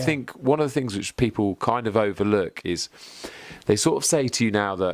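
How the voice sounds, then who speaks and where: Recorded very cleanly against a silent background, a man with a plain, everyday voice speaks at a moderate pace and a fairly low pitch. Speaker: interviewer. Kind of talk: casual conversation.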